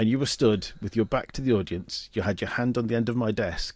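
Using an ordinary speaking voice, a man talks fairly quickly at a medium pitch with ordinary pitch variation. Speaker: podcast host. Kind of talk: interview, podcast intro. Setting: studio.

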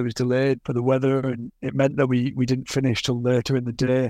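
A man with a Teesside accent talks at a very fast pace. His medium-pitched voice is monotone and flat. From northeast England (Yarm, near Middlesbrough). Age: 30s. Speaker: motorcycle racer and test rider. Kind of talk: interview. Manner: repeats words, slightly halting.

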